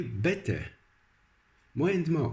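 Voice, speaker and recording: A man speaks with a somewhat breathy voice. His pitch swings very widely. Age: 60s. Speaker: religious and self-help video blogger. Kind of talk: scripted narration. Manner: halting.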